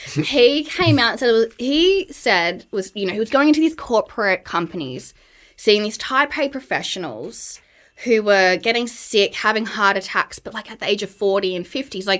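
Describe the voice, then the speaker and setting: A woman in an Australian accent, fairly high-pitched, with lively intonation at a moderate pace. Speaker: burnout and wellness coach. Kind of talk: podcast interview. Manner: casual, filler-heavy.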